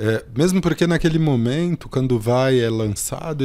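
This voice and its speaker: In a very clean recording with a silent background, a man with a dark, mellow tone and medium pitch speaks at a fairly slow pace with lively intonation. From São Paulo, South Zone. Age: 40s. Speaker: cultural project manager. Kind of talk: casual chat.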